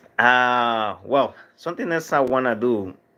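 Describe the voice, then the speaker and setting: With a Dominican accent, a man speaks at a medium pitch in a bright, sharp tone, using ordinary pitch variation. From Dominican Republic. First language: Spanish. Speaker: livestream vlogger. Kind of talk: casual livestream chat reading viewer comments. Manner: halting, many fillers and restarts.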